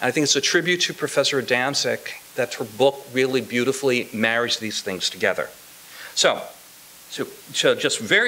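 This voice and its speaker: Using an unremarkable speaking voice, a man with an American accent talks at a moderate pace in a fairly high pitch with lively intonation. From Indiana, US Midwest. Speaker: sociology professor. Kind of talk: academic commentary. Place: classroom. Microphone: podium.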